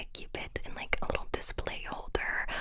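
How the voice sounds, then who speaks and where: Over noticeable background noise, a woman is whispering at a moderate pace. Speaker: ASMR creator. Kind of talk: ASMR whispered show and tell. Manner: whispered, soft, calming.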